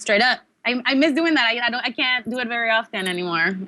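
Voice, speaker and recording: With a Mexican accent, a woman talks at a very fast pace with ordinary pitch variation. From Mexico, Tijuana. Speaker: professional wrestler. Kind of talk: interview.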